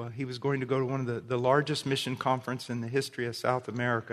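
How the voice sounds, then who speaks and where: A man speaks very fast in a monotone with flat intonation. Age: 50s. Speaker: preacher. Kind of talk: sermon.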